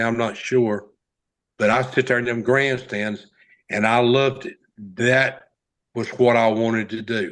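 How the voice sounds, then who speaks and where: A man speaks at medium pitch with a Southern US accent. His intonation is monotone and flat, broken by long, frequent pauses. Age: 60s. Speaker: race car driver. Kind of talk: interview storytelling. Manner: halting.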